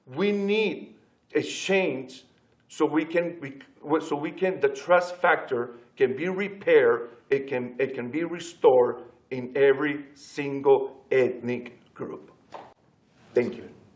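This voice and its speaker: With a strong Spanish accent, a man talks at a very slow pace and a fairly high pitch, with ordinary pitch variation and big swings in loudness. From Latin America. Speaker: pastor. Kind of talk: panel discussion. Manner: passionate.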